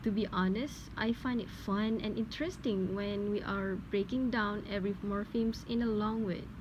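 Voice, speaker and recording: A woman speaks with a Malaysian accent in a fairly high, somewhat breathy voice. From Malaysia, Perak. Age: young. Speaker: linguistics student. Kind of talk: scripted dialogue for class assignment.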